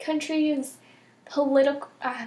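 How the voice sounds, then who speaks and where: A woman's voice, high in pitch. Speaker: knitting podcaster. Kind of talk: casual vlog monologue. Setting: home recording. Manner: many filler ums.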